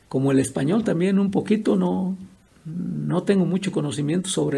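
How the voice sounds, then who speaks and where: This man's voice sits high in pitch and moves with lively intonation. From Michoacán, Mexico (Purépecha region). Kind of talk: interview. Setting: at his home.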